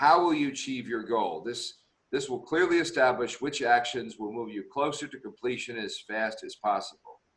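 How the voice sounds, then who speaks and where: A man talks at a moderate pace in an ordinary speaking voice. His medium pitch carries lively intonation. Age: 60s. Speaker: executive coach and webinar host. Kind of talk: online leadership webinar discussion.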